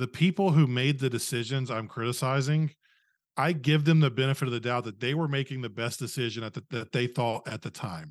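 A man speaks in a normal speaking voice at a medium pitch and moderate pace, against a quiet background. His pitch varies in an ordinary way. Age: 30s. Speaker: podcast host and former youth leader. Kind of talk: casual chat.

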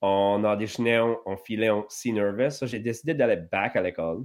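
A man of medium pitch at a very slow pace. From southwest Nova Scotia, Acadian community. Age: 30s. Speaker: actor and hip-hop musician. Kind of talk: casual interview chat.

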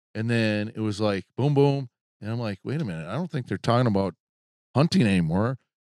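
A man talks at a fairly quick pace in a normal speaking voice, medium in pitch, with lively intonation. The sound is dry and close, with no echo. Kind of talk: casual chat.

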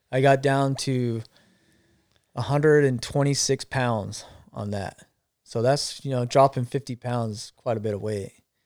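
In an ordinary speaking voice, a man talks at medium pitch and a fairly slow pace with fairly even intonation. The recording is very clean and dry, close with no echo and a silent background. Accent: American. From Arizona. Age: 40s. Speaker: cancer survivor and former line worker. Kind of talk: casual chat.

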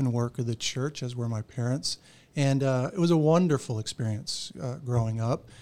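Dark and mellow in tone, a man's voice at a medium pitch moves at a moderate pace with ordinary pitch variation. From Florida (Orlando). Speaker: pastor. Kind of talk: casual interview.

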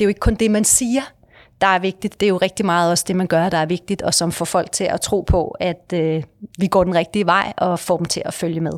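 A woman speaks in a normal speaking voice at medium pitch and a moderate pace, with ordinary pitch variation, in a very clean recording with a silent background. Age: 50s. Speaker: company director. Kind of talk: interview.

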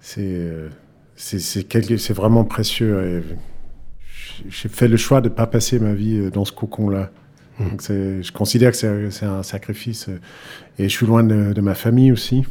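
In a very clean recording with a silent background, a man with a Danish accent speaks very slowly with long, frequent pauses, his fairly low voice dark and mellow in tone and his intonation fairly even. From Denmark, Aarhus. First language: Danish (speaking French). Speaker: pianist. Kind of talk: interview. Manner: halting, many repeated words.

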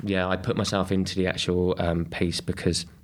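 At a moderate pace, a man speaks with a southern English accent. His pitch is very deep and low, with monotone, flat intonation. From England, Kent. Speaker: artist and activist, formerly homeless. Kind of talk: interview conversation. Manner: halting.

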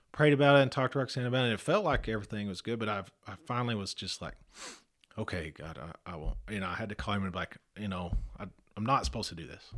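A man with a Texan accent talks very fast at a fairly low pitch, with lively intonation. His loudness swings widely. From Texas. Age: 40s. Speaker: church member. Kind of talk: casual chat.

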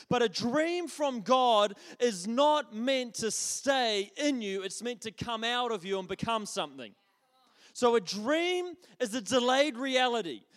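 A man's extremely high pitch and lively intonation in a New Zealand accent, at a fairly slow pace. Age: 30s. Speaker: pastor. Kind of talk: sermon. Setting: church. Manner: halting.

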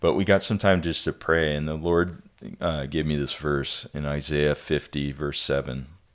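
In an American accent, a man talks at a very deep, low pitch and a fairly slow pace with fairly even intonation. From US Pacific Northwest (Ellensburg, Washington). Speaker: non-profit executive director, former missionary. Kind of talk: casual interview.

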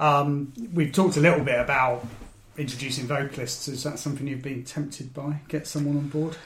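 Audible room echo surrounds a man with a bright, sharp tone and a fairly high pitch. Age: 40s. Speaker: podcast host. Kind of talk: casual chat.

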